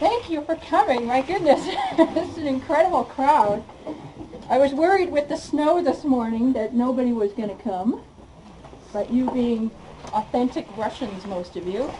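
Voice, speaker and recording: Against noticeable background noise, a high-pitched woman talks at a moderate pace with very wide pitch swings, big swings in loudness, and long, frequent pauses. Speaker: director of a cultural center. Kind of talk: introductory speech to an audience.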